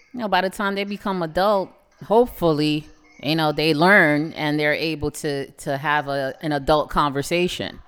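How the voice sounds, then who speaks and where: A woman with a New York accent talks at a moderate pace in a very deep, low pitch with ordinary pitch variation. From Brooklyn, New York (Canarsie). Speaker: parent and podcast guest. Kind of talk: casual chat.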